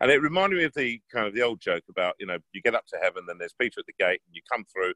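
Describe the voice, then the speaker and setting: The speaker is a man with an English accent. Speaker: bass baritone opera singer. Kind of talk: interview answer. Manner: casual, anecdotal.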